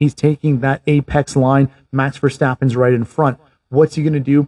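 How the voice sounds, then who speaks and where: A man's fairly high-pitched, somewhat breathy voice with a dark, mellow tone, monotone, flat intonation and a moderate pace, dry and close with no echo over a quiet background. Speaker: podcast host. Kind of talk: race commentary, play-by-play retelling of a past race as a picture for listeners. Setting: Canada. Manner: vivid, scene-painting.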